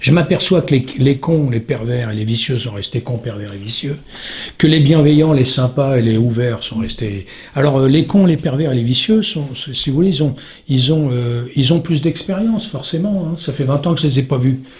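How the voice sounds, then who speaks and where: A man's fairly high pitch, lively intonation and moderate pace. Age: 60s. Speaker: stuntman. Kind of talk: interview. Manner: halting.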